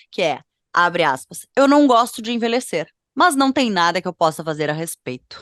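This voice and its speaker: Over a quiet background, a woman talks at a moderate pace with a medium pitch. Her pitch swings very widely, and the sound is dry and close with no echo. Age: 30s. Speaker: fashion podcast co-host. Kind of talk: casual podcast chat. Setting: at home.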